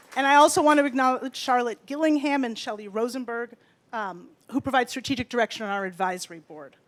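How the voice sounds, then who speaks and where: In a very clean recording with a silent background, a woman speaks very fast in a high pitch, her intonation lively and her loudness swinging widely. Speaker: nonprofit executive director. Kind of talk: speech at benefit event. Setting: event stage with audience and PA.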